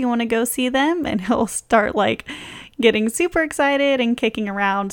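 A soft-spoken woman's voice, fairly high-pitched, with lively intonation, in a very clean recording against a silent background. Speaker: podcast host. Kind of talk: casual chat.

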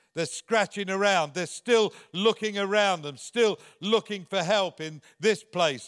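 A man with an English accent, a high pitch and a bright, sharp tone at a very slow pace, in a very clean recording with a silent background and a dry, close sound with no echo. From England. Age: 70s. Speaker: visiting preacher. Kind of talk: sermon. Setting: church.

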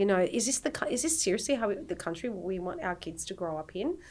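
A woman speaks at a moderate pace in an Australian accent, her medium-pitched voice carrying lively intonation. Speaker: peace activist and mother. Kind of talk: casual chat. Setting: studio.

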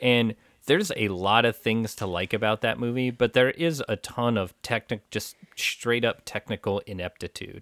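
A plain, everyday voice from a man, medium in pitch with ordinary pitch variation at a moderate pace, dry and close with no echo in a very clean recording with a silent background. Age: 30s. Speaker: movie podcast co-host. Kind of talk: casual chat.

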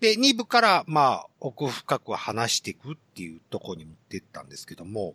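A man speaks at a moderate pace with hardly any pauses, his loudness swinging widely. The sound is dry and close, with no echo. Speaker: podcast host. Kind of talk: casual chat. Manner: laughs a lot.

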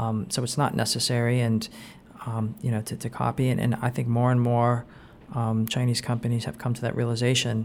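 Speaking fairly quickly with a Californian accent, a man keeps a medium pitch and a monotone, flat intonation. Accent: American (Californian). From Southern California (Anaheim). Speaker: startup investor and entrepreneur. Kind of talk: interview. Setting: in person at a coworking space. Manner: frequent fillers and repetitions.

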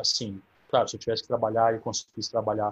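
A man's somewhat breathy voice sits at a fairly low pitch. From São Carlos, interior of São Paulo, Brazil. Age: 30s. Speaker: recently approved diplomatic exam candidate. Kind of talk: online Q&A talk.

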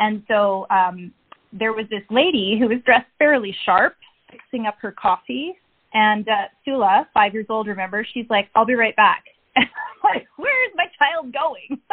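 Lively intonation at a fairly slow pace. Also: woman, fairly high pitch for a woman. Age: 40s. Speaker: entrepreneur and mother. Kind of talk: interview.

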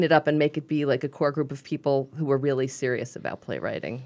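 Over a quiet background, a woman with a Brooklyn accent talks at a very fast pace. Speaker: playwright, radio guest.

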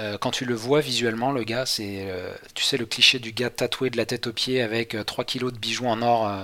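Bright and sharp in tone, a man speaks at medium pitch and a moderate pace with fairly even intonation. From western France, near Angers. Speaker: traveller recounting a world trip. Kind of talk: casual interview chat. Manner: hesitant, many repetitions and fillers.

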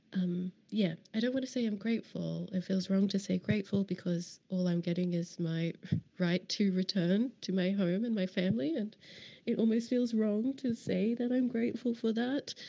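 At a moderate pace, a woman speaks at a medium pitch in a dark, mellow tone, with ordinary pitch variation and very even loudness. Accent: Australian. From Queensland, Australia. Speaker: podcast host. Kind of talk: casual spoken intro. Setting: immigration office.

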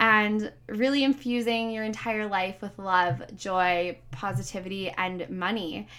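Loud and animated, a woman speaks at a medium pitch in a bright, sharp tone with ordinary pitch variation. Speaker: podcast host and life coach. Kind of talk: solo motivational podcast monologue; sponsor pitch.

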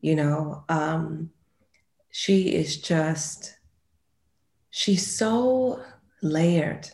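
A woman with a very deep, low, somewhat breathy voice speaks at a very slow pace, lively in intonation and full of long, frequent pauses. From London, then moved to the US when young. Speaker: actress. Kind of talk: interview.

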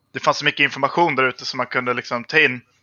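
A man is speaking here. His voice has a medium pitch. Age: 30s. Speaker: gamer. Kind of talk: casual chat.

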